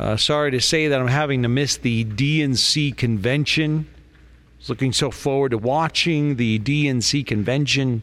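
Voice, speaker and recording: A man with a plain, everyday voice talks at a fairly slow pace, keeping a medium pitch, fairly even intonation and very even loudness. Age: 50s. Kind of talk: casual chat.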